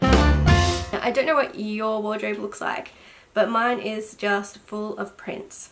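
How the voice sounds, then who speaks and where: Over noticeable background noise, a woman speaks with a fairly high pitch. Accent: Australian. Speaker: sewing vlogger. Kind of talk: casual talk to camera.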